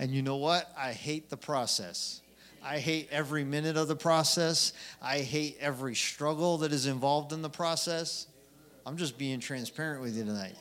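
Moderate-paced male speech, fairly high in pitch, with ordinary pitch variation. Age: 40s. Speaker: preacher. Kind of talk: sermon. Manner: impassioned.

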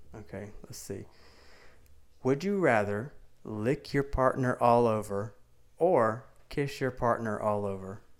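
Long, frequent pauses break up a man's fairly slow speech. He has a Southern US accent and ordinary pitch variation. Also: medium pitch for a man. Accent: southern US, noticeable. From Mississippi. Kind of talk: casual chat.

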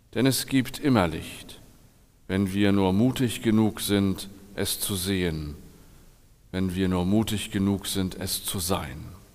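A man's fairly low voice at a very slow pace, with long, frequent pauses, ordinary pitch variation and audible room echo. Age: 40s. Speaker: pastor. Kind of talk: sermon.

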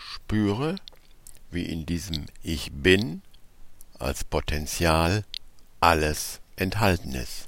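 A man speaks very slowly in a calm, soothing tone, with a very deep, low pitch, vocal fry, ordinary pitch variation, and long, frequent pauses. The recording is very clean, with a silent background. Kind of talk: guided meditation. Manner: slow, calm and soothing, with long pauses; soft-spoken, gentle and instructive.

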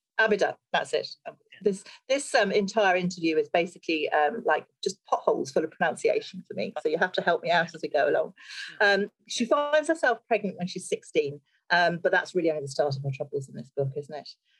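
A woman's somewhat breathy, medium-pitched voice at a fairly quick pace, with very wide pitch swings, big swings in loudness and a dry, close sound with no echo. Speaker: festival host and crime writer. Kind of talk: moderated panel interview. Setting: video call.

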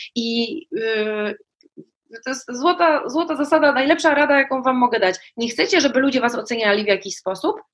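Her voice high in pitch, a woman talks at a moderate pace with lively intonation. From Poland, small town. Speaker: journalist and life coach. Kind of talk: casual chat. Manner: animated.

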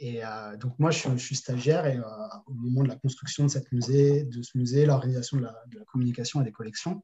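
A somewhat breathy man at a medium pitch talks with hardly any pauses, fairly even intonation and big swings in loudness. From France, Paris region and Toulouse. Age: 30s. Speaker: e-commerce entrepreneur. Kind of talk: casual interview. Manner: hesitant, many fillers.

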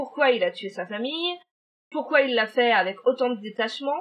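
At a moderate pace, a woman talks in a high pitch. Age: 30s. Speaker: podcast co-host. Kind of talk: true-crime storytelling in casual chat. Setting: remote recording.

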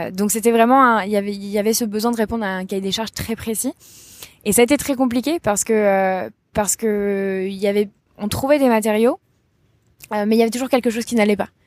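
Long, frequent pauses mark a woman's fairly quick pace, fairly high pitch and fairly even intonation. The sound is dry and close, with no echo. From rural France. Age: 20s. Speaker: entrepreneur. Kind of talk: interview. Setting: outdoors.

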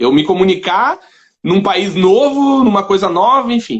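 High-pitched and lively in intonation, a man speaks. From southern Brazil. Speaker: writer and blogger. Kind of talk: casual chat.

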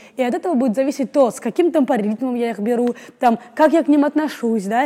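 Talking at a very fast pace through noticeable background noise, a woman uses a high pitch with ordinary pitch variation. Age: 20s. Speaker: actress and acting student. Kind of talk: casual interview. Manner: animated.

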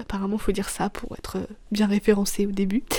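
Flat and monotone, a woman's medium-pitched voice keeps a moderate pace. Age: 20s. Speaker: podcaster. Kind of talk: personal monologue. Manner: halting; casual.

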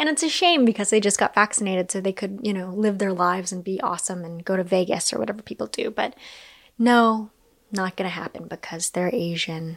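A fairly quick American accent with ordinary pitch variation, in a very clean recording with a silent background. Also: woman, medium pitch for a woman. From US, fourth-generation Chinese and Japanese American. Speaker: podcast host. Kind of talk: solo monologue, casual and candid. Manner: rambling, conversational.

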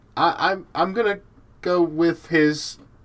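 His pitch sits high. The man has an American accent. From US South, Georgia. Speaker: podcast host. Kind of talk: casual chat.

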